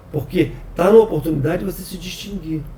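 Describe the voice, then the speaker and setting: Over noticeable background noise, a man talks fairly quickly at a high pitch with lively intonation. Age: 60s. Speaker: software company president. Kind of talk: podcast interview. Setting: office.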